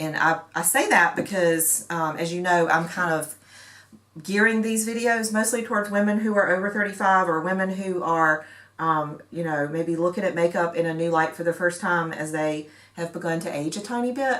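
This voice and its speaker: An ordinary speaking voice at a moderate pace. Its pitch varies in an ordinary way. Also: woman, fairly low pitch for a woman. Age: 40s. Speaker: beauty vlogger. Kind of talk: casual talk to camera.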